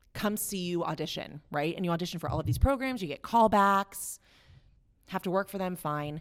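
On a very clean recording with a silent background, a woman with an American accent talks at a fairly quick pace in an unremarkable speaking voice, fairly low in pitch with lively intonation. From West Virginia. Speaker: actor and acting professor. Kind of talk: casual chat.

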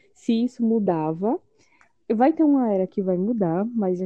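Woman with an ordinary speaking voice, medium pitch, lively intonation and a moderate pace. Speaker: podcast co-host. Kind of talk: casual chat.

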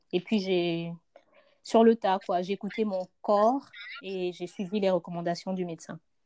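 A woman speaks at a moderate pace with fairly even intonation in a plain, everyday voice, recorded dry and close with no echo against a quiet background. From Congo. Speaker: mother, podcast guest. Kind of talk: casual chat.

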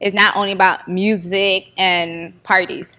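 A woman in a Haitian-American Florida accent speaks with a medium pitch and a bright, sharp tone. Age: 20s. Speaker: comedy video maker and nonprofit founder. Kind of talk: interview.

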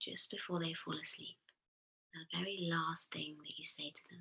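A woman's fairly low voice with vocal fry, a soothing tone, a bright, sharp tone, fairly even intonation and a fairly slow pace. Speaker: therapist and podcast host. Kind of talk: guided meditation. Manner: slow, soothing.

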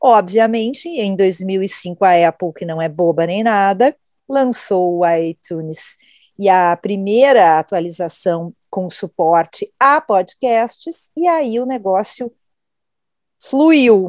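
At a very slow pace, a woman with a medium pitch speaks with lively intonation in a dry, close sound with no echo. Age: 50s. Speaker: podcast host, journalist. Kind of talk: casual chat.

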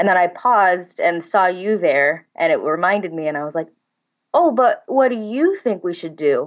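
With a Midwestern American accent, a woman speaks at a medium pitch. Her pace is moderate and her intonation lively. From St. Louis, Missouri. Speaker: copywriter and blogger. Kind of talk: interview.

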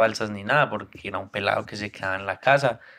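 This man speaks with a fairly low pitch. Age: 20s. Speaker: podcast host. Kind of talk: casual chat.

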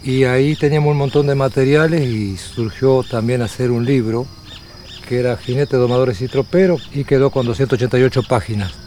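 An Uruguayan accent over noticeable background noise. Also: man, medium pitch for a man, ordinary pitch variation, moderate pace. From Uruguay, rural Tacuarembó. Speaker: rural researcher and interviewer. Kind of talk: documentary interview.

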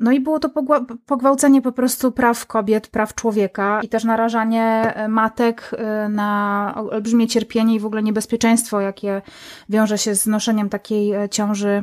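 A woman's fairly high-pitched voice at a moderate pace, fairly even in intonation, dry and close with no echo. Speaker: podcaster and activist. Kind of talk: interview. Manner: halting with repetitions.

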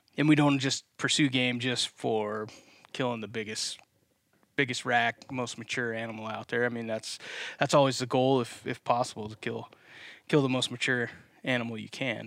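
On a very clean recording with a silent background, a man with an American accent and an unremarkable speaking voice talks at a moderate pace with a medium pitch and fairly even intonation. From US East Coast. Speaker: podcast co-host and company co-founder. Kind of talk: casual chat.

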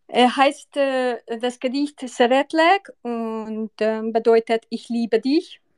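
Speaking at a very slow pace in a Hungarian accent, a woman uses a high pitch and ordinary pitch variation, recorded with a dry, close sound with no echo. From Hungary. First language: Hungarian (speaking German). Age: 40s. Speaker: listener reciting poems. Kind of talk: casual chat.

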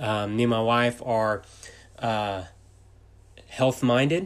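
A man with a Texan accent talks at a medium pitch, leaving long, frequent pauses. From Texas. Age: 30s. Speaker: entrepreneur and podcaster. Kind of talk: casual monologue. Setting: home office. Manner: fast.

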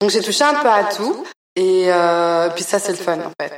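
A woman speaks fairly slowly at medium pitch. It is a normal speaking voice. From Belgium, raised partly in Congo. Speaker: artist. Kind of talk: interview. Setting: art gallery.

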